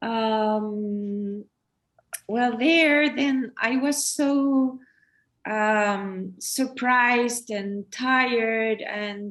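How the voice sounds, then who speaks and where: Her pitch high and its variation ordinary, a woman speaks with a Chilean Spanish accent. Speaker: photographer. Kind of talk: artist talk during online exhibit. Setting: online event. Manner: halting, many fillers and repetitions.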